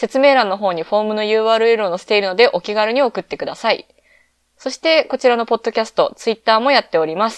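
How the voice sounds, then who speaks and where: A woman talks in a fairly high voice with ordinary pitch variation. The sound is dry and close with no echo, over a quiet background. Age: 20s. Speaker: podcast host. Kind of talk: solo casual podcast talk. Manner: relaxed, laid-back.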